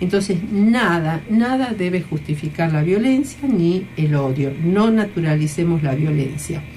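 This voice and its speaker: Audible room echo surrounds a woman speaking fairly slowly at a fairly low pitch. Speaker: radio host, former education minister. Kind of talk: radio talk show. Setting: radio studio.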